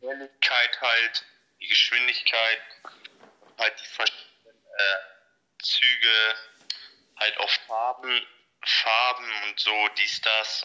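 A man speaks at a very slow pace. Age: 20s. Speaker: train enthusiast. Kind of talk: casual interview. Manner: halting, many fillers.

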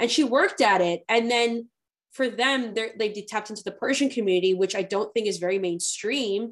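A woman's ordinary speaking voice, fairly high-pitched, at a moderate pace with ordinary pitch variation. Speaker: podcast host. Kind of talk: interview conversation.

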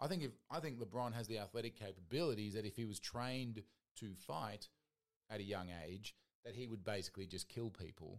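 Talking at a fairly quick pace, a man with an Australian accent uses a fairly low pitch and ordinary pitch variation. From Australian Capital Territory. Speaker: guest podcaster. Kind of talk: casual chat.

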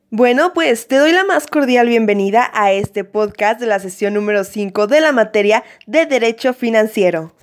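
A plain, everyday voice from a woman, fairly high in pitch, moderate in pace, with lively intonation and hardly any pauses. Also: very even loudness. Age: 20s. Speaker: law student. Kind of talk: educational explainer.

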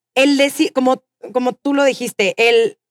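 This woman has a Mexican accent. The sound is dry and close, with no echo. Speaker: podcast host. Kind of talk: live interview before audience; storytelling monologue. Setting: stage with audience.

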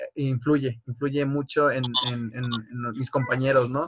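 A man's somewhat breathy voice runs in a monotone, flat intonation. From Tabasco, Mexico. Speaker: university student interviewer. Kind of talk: interview.

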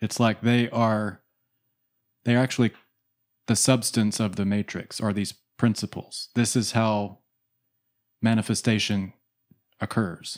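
In a very clean recording with a silent background, a man speaks at a fairly low pitch and fairly slow pace, his intonation monotone and flat, with long, frequent pauses. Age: 40s. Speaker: spiritual podcast co-host. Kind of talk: spiritual discussion. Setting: studio.

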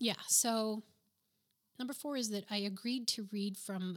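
The speaker has a southwestern US accent and an animated tone. The pace is moderate, with ordinary pitch variation. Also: woman. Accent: American, southwestern US. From New Mexico. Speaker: novelist and podcast host. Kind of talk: casual monologue storytelling. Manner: animated, laughs often.

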